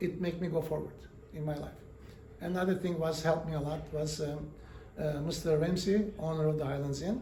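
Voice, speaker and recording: A man with a non-native accent talks at a fairly quick pace in a fairly high pitch, his intonation fairly even, with noticeable background noise and audible room echo. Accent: foreign. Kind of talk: interview storytelling. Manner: halting, many fillers.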